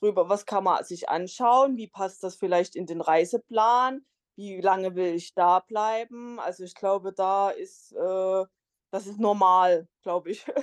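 A woman talks at a very slow pace and medium pitch with fairly even intonation. The sound is dry and close, with no echo. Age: 30s. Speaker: solo traveller and travel blogger. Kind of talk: interview. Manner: many filler sounds.

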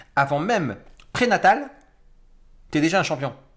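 This man's pitch is fairly high. His pace is fairly slow. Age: 40s. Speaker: mindset coach. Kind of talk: interview.

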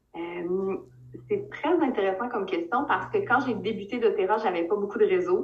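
A fairly high-pitched woman with a Quebec accent, at a moderate pace with lively intonation, over noticeable background noise. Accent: Québécois French. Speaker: direct sales leader. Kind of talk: interview.

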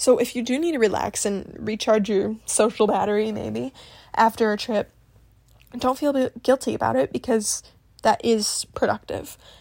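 A woman's fairly high voice with a Midwestern accent, at a moderate pace, in a dry, close recording with no echo. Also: ordinary pitch variation. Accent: general Midwestern American. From US Midwest. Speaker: podcast host. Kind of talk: casual solo vlog-style talk.

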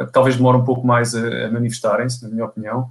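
A man with a European Portuguese accent talks at a very fast pace and a medium pitch. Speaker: podcast host for a property portal. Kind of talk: interview. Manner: halting.

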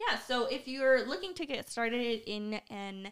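Fairly high in pitch with ordinary pitch variation, a woman talks at a fairly slow pace in an unremarkable speaking voice. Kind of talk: casual chat. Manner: soft-spoken.

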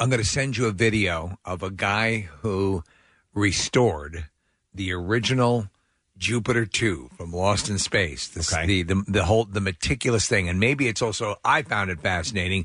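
A man speaks at a moderate pace with a fairly low pitch and ordinary pitch variation. The background is quiet. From New York. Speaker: radio co-host. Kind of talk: casual radio chat. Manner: halting, many repeated words.

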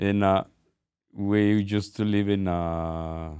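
A dark, mellow tone with a Spanish accent. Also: man. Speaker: host's father. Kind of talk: casual chat, family storytelling. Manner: halting, searching for words.

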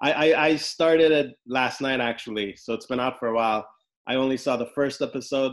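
A man talks at a fairly quick pace in a normal speaking voice. His intonation is fairly even. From Los Angeles, US. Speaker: podcast host and criminal defense lawyer. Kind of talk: casual interview.

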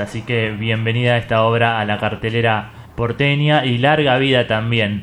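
A man with an unremarkable speaking voice talks at a fairly slow pace and medium pitch with ordinary pitch variation. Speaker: radio host. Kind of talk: casual interview.

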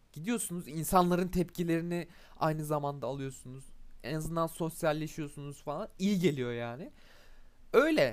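A fairly high-pitched man at a moderate pace, with ordinary pitch variation, in a very clean recording with a silent background. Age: 20s. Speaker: podcaster. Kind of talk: casual monologue. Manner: hesitant with fillers.

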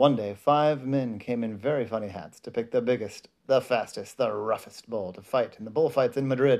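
In an ordinary speaking voice, a man talks at medium pitch and a moderate pace, with hardly any pauses, ordinary pitch variation and big swings in loudness. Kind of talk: children's bedtime storybook reading aloud. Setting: bedtime at home, reading to a child. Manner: pauses to comment on the pictures to a child.

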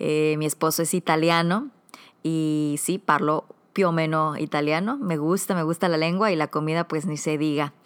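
Very deep, low pitch from a woman, fairly even in intonation, at a moderate pace. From northern Mexico, Comarca Lagunera (Coahuila/Durango). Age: 30s. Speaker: podcast host. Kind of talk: podcast monologue.

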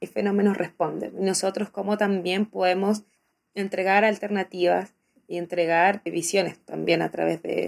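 A woman speaks at a moderate pace with fairly even intonation on a very clean recording with a silent background. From Chile. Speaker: popular educator, teacher. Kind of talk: interview. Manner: halting, with fillers and repetitions.

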